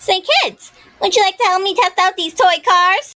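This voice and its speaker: A woman does a squeaky, put-on character voice at an extremely high pitch. Her moderate pace and ordinary pitch variation come through a dry, close sound with no echo. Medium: audio drama. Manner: brash.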